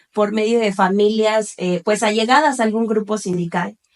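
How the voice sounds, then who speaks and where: A woman's unremarkable speaking voice, fairly high in pitch and fairly even in intonation, with a dry, close sound and no echo. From Cuernavaca, Mexico. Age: 30s. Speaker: lawyer. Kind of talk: interview.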